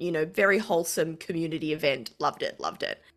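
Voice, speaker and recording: Speaking at a fairly quick pace, a woman with an Australian accent has a bright, sharp tone on a very clean recording with a silent background. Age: 40s. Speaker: podcast co-host. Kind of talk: casual chat.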